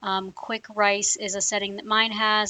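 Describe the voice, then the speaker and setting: A woman's fairly high voice at a moderate pace. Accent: American. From US South, South Louisiana (Cajun). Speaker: cooking video host. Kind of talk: cooking tutorial. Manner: casual, hesitant with many fillers.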